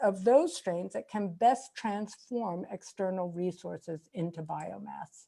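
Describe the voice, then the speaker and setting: In a very clean recording with a silent background, a woman talks at a fairly slow pace in a dark, mellow tone. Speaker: microbiologist, keynote speaker. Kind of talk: scientific lecture.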